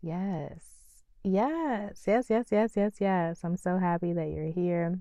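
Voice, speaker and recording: A woman speaks at a very slow pace. Her tone is calm, dark and mellow. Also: medium pitch for a woman, ordinary pitch variation. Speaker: podcast host. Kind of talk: motivational talk.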